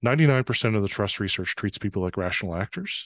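A man's fairly low voice with a Canadian accent, very fast pace, and a quiet background. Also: dry, close sound with no echo. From northern Canada, small town. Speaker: trust consultant. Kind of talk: interview.

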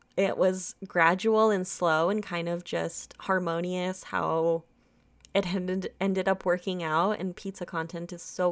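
Flat, monotone intonation with an American accent. The recording is very clean, with a silent background. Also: woman. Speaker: podcast host. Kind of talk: casual chat.

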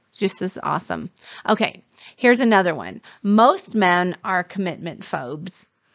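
With vocal fry and lively intonation, a woman of medium pitch talks at a moderate pace, her loudness swinging widely. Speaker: dating and relationship coach. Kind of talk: casual chat. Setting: studio.

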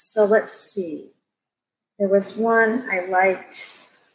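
A woman with an American accent, a fairly high pitch and fairly even intonation, an ordinary speaking voice. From US Midwest. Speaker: children's book author. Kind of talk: casual interview. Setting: video call.

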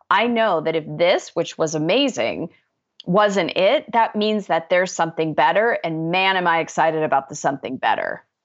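Against a quiet background, a woman with an unremarkable speaking voice and a fairly low pitch talks at a moderate pace with lively intonation and very even loudness. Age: 50s. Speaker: author and life coach. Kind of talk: interview.

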